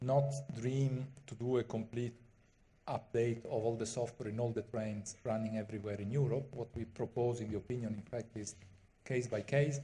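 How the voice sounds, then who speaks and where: A man talks at a moderate pace in a dark, mellow, somewhat breathy tone. His intonation stays monotone and flat. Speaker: conference presenter. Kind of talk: conference talk. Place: hall. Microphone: podium.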